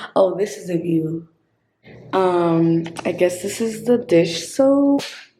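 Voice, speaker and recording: A woman is whispering at a very slow pace. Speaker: vlogger. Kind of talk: casual vlog tour. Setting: indoors in a quiet convent. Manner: casual, filler-heavy.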